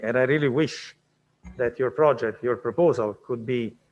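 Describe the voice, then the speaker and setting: Speaking at a fairly quick pace, a man with a non-native accent keeps his intonation fairly even. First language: not English. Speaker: award ceremony presenter. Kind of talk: award announcement.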